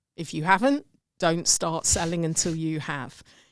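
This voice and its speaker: A woman with an English accent at a moderate pace, in a very clean recording with a silent background. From England. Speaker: sales and customer growth expert. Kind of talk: podcast interview.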